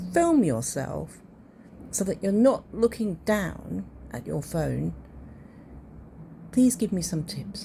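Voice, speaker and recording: A woman with a British accent speaks at a very slow pace, leaving long, frequent pauses. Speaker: amateur artist. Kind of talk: casual talk to camera.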